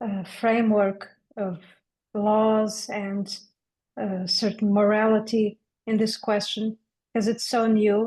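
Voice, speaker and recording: This woman speaks very slowly in a fairly high pitch, with a dark, mellow tone and flat, monotone intonation. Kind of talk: discussion seminar.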